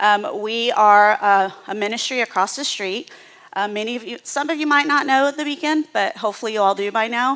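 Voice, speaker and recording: A woman with an American accent speaks loudly at a moderate pace, her pitch fairly high with ordinary variation. Her tone is bright and sharp. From US South, Houston, Texas. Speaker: nonprofit executive. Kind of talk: presentation to church audience.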